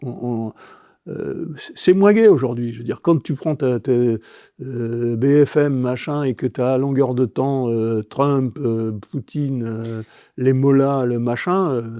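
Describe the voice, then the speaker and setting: With a dark, mellow tone, a man speaks very slowly with ordinary pitch variation. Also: medium pitch for a man, dry, close sound with no echo, quiet background. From Brittany, France. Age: 60s. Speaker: advertising executive and football club president. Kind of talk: podcast interview. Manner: halting, many repetitions.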